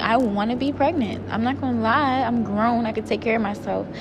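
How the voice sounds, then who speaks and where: A woman talks with a fairly high pitch and ordinary pitch variation. Noticeable background noise and audible room echo come through. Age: 20s. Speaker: podcast host. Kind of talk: personal monologue. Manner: casual, hesitant with fillers.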